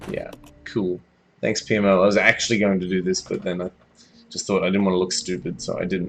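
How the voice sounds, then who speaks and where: With an Australian accent, a man speaks at a very fast pace in a very deep, low pitch, leaving long, frequent pauses. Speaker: game streamer. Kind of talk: live gameplay commentary. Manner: animated.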